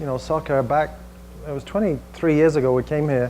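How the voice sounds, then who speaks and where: Speaking with an English accent at a fairly quick pace, a man has a fairly high pitch, a dark, mellow tone and fairly even intonation. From England, Manchester. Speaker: tech industry executive presenting. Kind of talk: presentation to a small audience. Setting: room with audience and screen. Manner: casual with frequent fillers.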